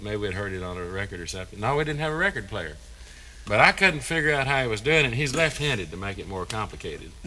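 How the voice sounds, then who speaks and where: With a Texas accent, a man speaks at a fairly low pitch with lively intonation. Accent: Texas drawl. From East Texas (Tyler). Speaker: fiddle player. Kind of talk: interview reminiscence.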